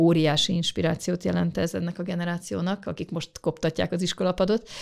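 A woman with a normal speaking voice talks at a fairly quick pace and a fairly low pitch with ordinary pitch variation, in a very clean recording with a silent background. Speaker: government space official. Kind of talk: interview answers. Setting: studio. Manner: formal, explanatory.

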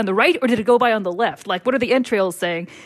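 A woman talks at a fairly high pitch, varying it in an ordinary way, while noticeable noise sits in the background. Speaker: columnist guest. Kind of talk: casual chat.

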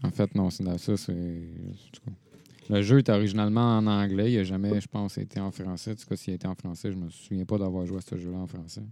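In a Quebec accent, a man talks at a fairly quick pace with a very deep, low pitch, fairly even intonation and a dark, mellow tone. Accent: Québécois French. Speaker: gaming podcast co-host. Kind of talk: casual chat.

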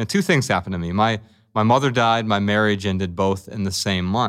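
An unremarkable speaking voice belongs to a man with an American accent and a fairly low pitch, talking at a moderate pace. The recording is very clean, with a silent background. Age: 40s. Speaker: writer and speaker on minimalism. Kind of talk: interview conversation.

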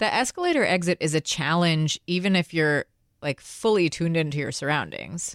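A woman with a normal speaking voice and fairly low pitch talks at a fairly quick pace, her loudness very even and her pitch varying in an ordinary way, in a dry, close sound with no echo on a very clean recording with a silent background. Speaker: podcast co-host. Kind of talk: casual chat.

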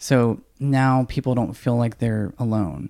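The speaker has an American accent and talks at a fairly slow pace. The recording is very clean, with a silent background. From Georgia, US South. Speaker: transgender advocate and burlesque performer. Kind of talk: interview conversation.

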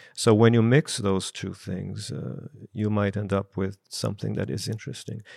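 In a very clean recording with a silent background, a man with a fairly low pitch and vocal fry talks at a moderate pace with ordinary pitch variation. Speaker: filmmaker. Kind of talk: panel discussion.

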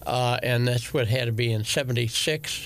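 With a fairly bright tone and medium pitch, a man speaks at a moderate pace with ordinary pitch variation.

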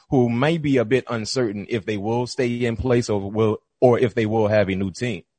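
Against a quiet background, a man speaks in a normal speaking voice at medium pitch, with fairly even intonation and a moderate pace. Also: hardly any pauses. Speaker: podcast co-host. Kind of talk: casual sports chat.

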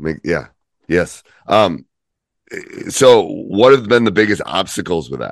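The speaker uses lively intonation and vocal fry, moving at a fairly slow pace with long, frequent pauses and big swings in loudness. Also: man, fairly low pitch for a man. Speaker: youth basketball podcast co-host. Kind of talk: casual chat.

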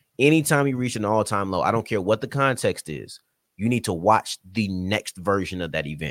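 This man has a slight Southern US accent and a fairly low pitch, talking at a moderate pace with lively intonation and an animated tone. The recording is very clean with a silent background, and the sound is dry and close with no echo. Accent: slight Southern US twang. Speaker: sports podcast host and writer. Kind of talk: casual chat.

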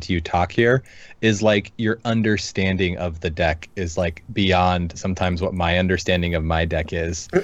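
Talking at a fairly quick clip with hardly any pauses, a man with an American accent and a very deep, low voice uses ordinary pitch variation against a quiet background. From Seattle area, US. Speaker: podcast co-host. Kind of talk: casual chat. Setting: live stream.

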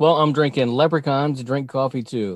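A man talks at a medium pitch with ordinary pitch variation, an ordinary speaking voice. The background is quiet. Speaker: podcast co-host. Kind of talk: casual banter podcast. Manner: joking, laughs often.

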